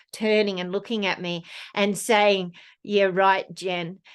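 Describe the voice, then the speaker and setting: She speaks with an Australian accent. The speaker is a woman. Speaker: snowkiting guide and presenter. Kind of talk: presentation talk. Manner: hesitant with fillers.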